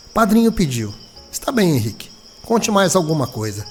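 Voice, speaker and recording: A man talks at a moderate pace in a fairly high register, his pitch rising and falling very widely. Noticeable background noise runs under his voice. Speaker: radio announcer and journalist. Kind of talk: dramatized audiobook reading.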